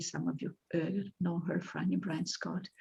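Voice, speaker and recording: A woman speaks with a Polish accent and a fairly low pitch. Her delivery is fairly slow, with vocal fry. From Poland. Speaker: poet. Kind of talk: interview. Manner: halting.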